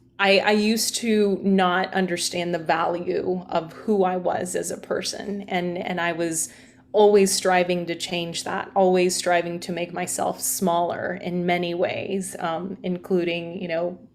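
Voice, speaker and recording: Against noticeable background noise, a woman with a fairly low pitch speaks fairly slowly in a flat monotone, with hardly any pauses. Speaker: journalist and yoga teacher. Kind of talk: interview. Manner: loud.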